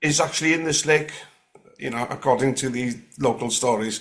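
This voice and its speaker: The man's voice sits at a medium pitch. His intonation is fairly even. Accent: North Welsh. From North West Wales, Gwynedd. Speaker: guest sharing paranormal experiences. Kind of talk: casual interview chat. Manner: halting, many fillers and restarts.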